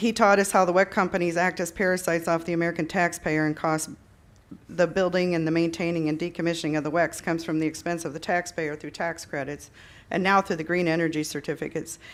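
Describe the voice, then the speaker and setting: A woman's fairly low voice, monotone and flat, very fast, with an Upper Midwest accent. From South Dakota, Yankton County. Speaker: farmer speaking at public hearing. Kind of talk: public comment at hearing. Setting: public meeting. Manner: halting.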